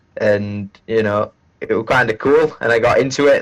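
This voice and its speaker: The man speaks at a medium pitch with monotone, flat intonation. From northern England, South Yorkshire. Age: 20s. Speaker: gaming streamer. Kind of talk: casual chat.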